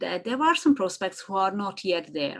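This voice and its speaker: Here a woman speaks at medium pitch. Her intonation is lively. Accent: Hungarian. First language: Hungarian. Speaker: marketing consultant. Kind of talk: podcast interview. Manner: halting.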